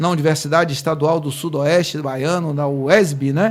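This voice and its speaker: Speaking at a fairly slow pace, a man uses an unremarkable speaking voice. His pitch variation is ordinary. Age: 50s. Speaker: podcast host. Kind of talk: casual interview.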